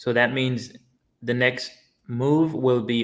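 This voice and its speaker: The man has an unremarkable speaking voice at medium pitch. His intonation stays fairly even. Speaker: crypto livestreamer. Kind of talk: live stream chat reading viewer comments. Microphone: poor internet, stream may lag.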